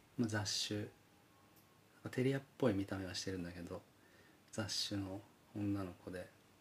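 A man with a fairly low voice speaks at a moderate pace with long, frequent pauses and fairly even intonation, over noticeable background noise. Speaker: podcast co-host and band musician. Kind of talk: casual chat.

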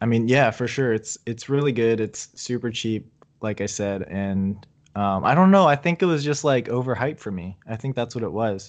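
A man with a normal speaking voice and an American accent talks at medium pitch and a moderate pace with lively intonation against a quiet background. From Virginia, US. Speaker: toy photographer. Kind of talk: casual chat.

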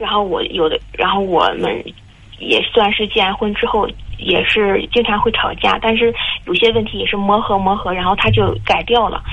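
Moderately paced speech from a woman amid noticeable background noise. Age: 20s. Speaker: caller. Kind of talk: phone call advice. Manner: halting.

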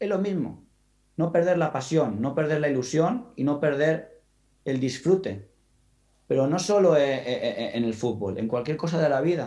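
A man's fairly high-pitched voice, dark and mellow in tone, at a fairly slow pace. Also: lively intonation. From Spain, Valencian coast (Gandía). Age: 30s. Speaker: football coach. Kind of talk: interview conversation.

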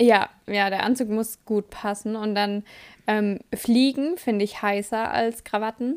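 In a very clean recording with a silent background, a woman speaks at a very slow pace with fairly high pitch and fairly even intonation. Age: 20s. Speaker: podcast co-host. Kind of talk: casual chat.

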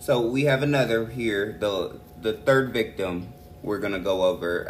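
A man at a medium pitch with ordinary pitch variation, a fairly slow pace, and audible room echo. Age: 30s. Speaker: true crime podcast co-host. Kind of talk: casual chat.

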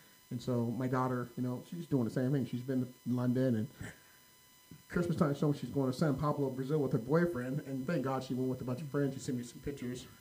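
A man with an American accent speaks very fast at a medium pitch. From California, Sacramento area. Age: 50s. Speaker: podcast co-host. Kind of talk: casual chat. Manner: animated.

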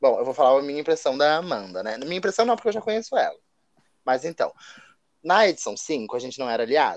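Over a quiet background, a man talks at a very fast pace and a fairly high pitch, with very wide pitch swings and long, frequent pauses. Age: 20s. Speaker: podcast co-host, online reality game player. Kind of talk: casual chat.

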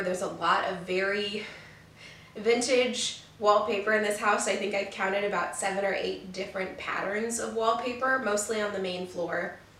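A woman at medium pitch talks at a moderate pace with monotone, flat intonation. The recording carries audible room echo and noticeable background noise. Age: 20s. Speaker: podcast host and student. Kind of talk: casual monologue; sponsor read. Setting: home room, on camera.

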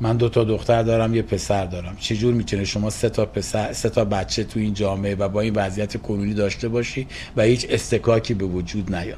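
A man's fairly low voice, monotone and flat, at a very fast pace with hardly any pauses. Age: 60s. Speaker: recovering addict sharing story. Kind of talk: interview testimony.

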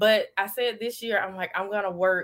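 A woman with an Alabama accent, bright, sharp tone, fairly even intonation and moderate pace, in a very clean recording with a silent background. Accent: Southern US (Alabama). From US South, Alabama. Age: 30s. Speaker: social media influencer and blogger. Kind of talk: interview. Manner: hesitant, many fillers.

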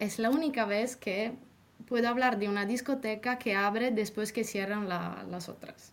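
A woman with an Italian accent speaks at a fairly slow pace, her fairly high voice keeping a fairly even intonation. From Italy. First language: Italian (speaking Spanish). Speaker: former exchange student. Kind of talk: casual interview.

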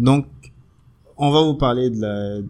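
His tone is dark and mellow. The man's pitch varies in an ordinary way. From Benin. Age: 30s. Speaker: podcast co-host. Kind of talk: casual chat.

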